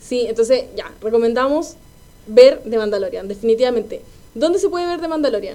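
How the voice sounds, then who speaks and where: A woman talks fairly quickly, her voice high and her intonation lively. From Chile, Quilpué. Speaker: podcast co-host. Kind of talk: casual chat.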